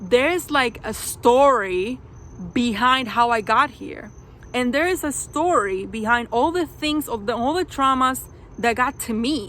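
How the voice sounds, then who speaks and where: In a non-native accent, a woman speaks at a fairly slow pace with a high pitch, ordinary pitch variation and a bright, sharp tone. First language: not English. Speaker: video reviewer. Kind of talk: casual vlog review. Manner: many fillers and restarts.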